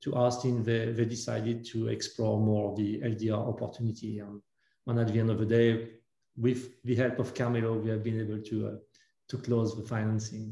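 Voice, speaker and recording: A somewhat breathy man with a French accent, fairly quick, in a monotone, flat intonation, with audible room echo. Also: medium pitch for a man. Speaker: entrepreneur. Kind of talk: panel interview. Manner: halting, many fillers.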